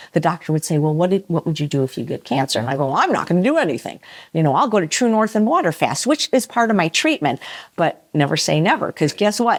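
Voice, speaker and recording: A woman's fairly low voice with an American accent and very wide pitch swings, very fast, on a very clean recording with a silent background. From US Midwest, Chicago. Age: 60s. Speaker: vegan chef and cookbook author. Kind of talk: podcast interview.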